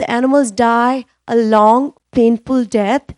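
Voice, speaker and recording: Someone with a non-native accent speaks with fairly even intonation in a dry, close sound with no echo. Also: woman. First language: not English. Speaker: animal shelter volunteer speaking at public comment. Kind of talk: public comment at council meeting. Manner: halting, many fillers.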